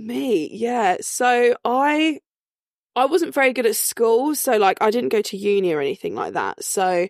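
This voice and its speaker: A woman with an eastern English accent speaks fairly slowly in a fairly high voice, with very wide pitch swings. The sound is dry and close with no echo, on a very clean recording with a silent background. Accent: English, eastern England. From England. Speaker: beauty therapist and lash technician.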